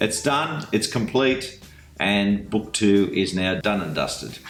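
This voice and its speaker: Over music in the background, the speaker talks in a relaxed tone at a very slow pace with ordinary pitch variation. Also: man. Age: 60s. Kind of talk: casual book discussion. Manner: jokey, relaxed.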